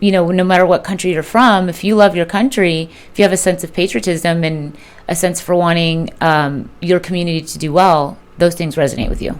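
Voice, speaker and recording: The speaker talks with a Spanish accent at a fairly quick pace. Pitch variation is ordinary. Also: woman, fairly low pitch for a woman. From Southern California and Colombia. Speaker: political candidate. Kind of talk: interview.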